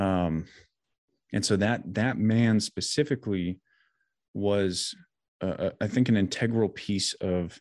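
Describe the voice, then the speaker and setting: Very clean recording with a silent background, featuring a man's fairly low voice at a fairly slow pace with ordinary pitch variation. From US Midwest, Janesville, Wisconsin. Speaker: mental health coach and combat veteran. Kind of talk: interview conversation.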